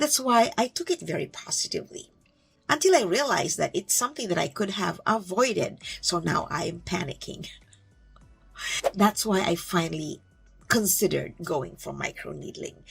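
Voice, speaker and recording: Music plays in the background. A woman speaks over it at a moderate pace. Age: 60s. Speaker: beauty vlogger. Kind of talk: casual vlog talk.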